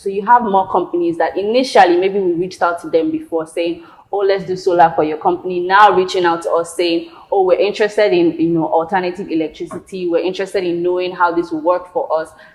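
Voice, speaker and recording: Over noticeable background noise, a woman talks at a very fast pace with hardly any pauses, using medium pitch and fairly even intonation. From Nigeria. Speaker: solar energy entrepreneur. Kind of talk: interview answer.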